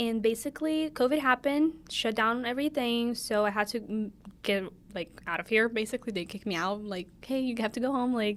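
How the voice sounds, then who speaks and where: A woman's fairly high voice at a very fast pace, with a Brazilian Portuguese accent, on a very clean recording with a silent background. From Brazil, São Paulo. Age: 20s. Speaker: podcast co-host, college student. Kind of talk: casual chat.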